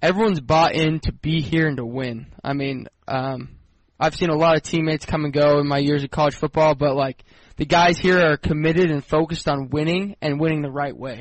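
A man with a normal speaking voice talks fairly quickly. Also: fairly high pitch for a man. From US, Denver, Colorado. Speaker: college football quarterback. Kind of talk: pregame interview. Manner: upbeat, polite, filler-heavy young talker.

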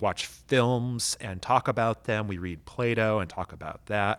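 With ordinary pitch variation and a moderate pace, this man has an unremarkable speaking voice. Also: very clean recording, silent background. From North Texas (Amarillo). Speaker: pastor and high school teacher. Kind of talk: casual interview chat.

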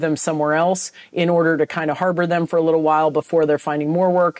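Speaking with an American accent, a woman has an unremarkable speaking voice at a fairly low pitch and a fairly quick pace. The sound is dry and close, with no echo. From San Francisco Bay Area, California. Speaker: anti-trafficking advocate. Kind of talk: interview.

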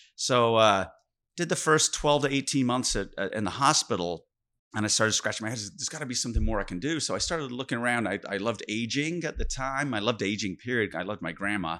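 Against a quiet background, a man talks at a very fast pace in a bright, sharp tone, his medium pitch carried by lively intonation. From Sheffield, England. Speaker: physical therapist, company founder. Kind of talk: interview storytelling.

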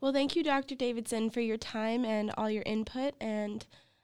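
A woman with a Canadian accent has a plain, everyday voice at a fairly high pitch, with ordinary pitch variation and a dry, close sound with no echo, on a very clean recording with a silent background. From Canada. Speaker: podcast host. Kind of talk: interview.

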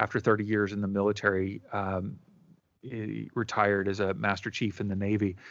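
An unremarkable speaking voice from a man, fairly low in pitch, at a moderate pace against a quiet background. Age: 40s. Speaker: life coach and former pastor. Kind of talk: interview.

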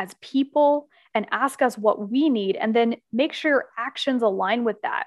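Pitched high, a woman with an American accent speaks at a moderate pace with ordinary pitch variation, in a dry, close recording with no echo. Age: 20s. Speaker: business consultant and author. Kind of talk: podcast interview.

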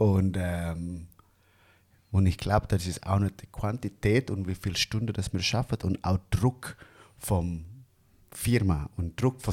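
A man with an Indonesian accent speaks at a fairly slow pace in a very deep, low pitch, leaving long, frequent pauses. The recording is very clean with a silent background, and the sound is dry and close with no echo. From Indonesia, Bandung. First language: Indonesian (speaking German). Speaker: barista. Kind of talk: casual chat.

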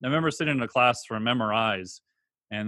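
This man talks at a fairly quick pace in a medium pitch with ordinary pitch variation and an ordinary speaking voice. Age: 40s. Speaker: exercise physiologist and online trainer. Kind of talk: interview.

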